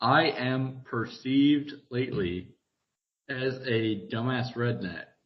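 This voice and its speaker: A man speaks at a very slow pace with a strong Southern US accent. His medium-pitched voice shows ordinary pitch variation. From US South. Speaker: podcast co-host. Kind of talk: casual chat.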